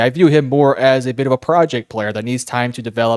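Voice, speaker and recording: A man's medium-pitched voice with ordinary pitch variation over music in the background. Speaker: sports podcast host. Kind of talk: solo podcast analysis. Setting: at home at night.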